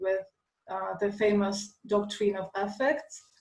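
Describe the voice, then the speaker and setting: A woman with a Russian accent at a fairly slow pace. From Russia, Moscow. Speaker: lecturer, classical philologist and dancer. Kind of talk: lecture. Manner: halting, many fillers.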